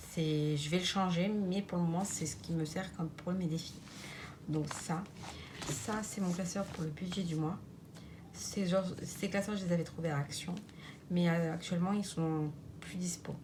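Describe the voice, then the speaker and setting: A woman talks at a fairly slow pace in a fairly low pitch, with fairly even intonation and long, frequent pauses. Noticeable background noise and audible room echo fill the recording. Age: 30s. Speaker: budgeting vlogger. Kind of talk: casual vlog tutorial. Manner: halting, many fillers.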